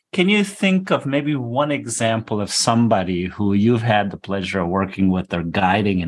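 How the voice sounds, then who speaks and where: At a moderate pace, a man speaks in a plain, everyday voice, fairly low in pitch with ordinary variation, in a very clean recording with a silent background. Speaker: podcast co-host. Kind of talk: casual interview.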